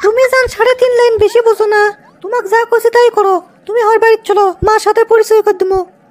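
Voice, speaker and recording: A cartoonish character voice at a fairly quick pace, flat and monotone, with very even loudness and a dry, close sound free of echo. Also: woman, extremely high pitch for a woman. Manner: bossy, mocking.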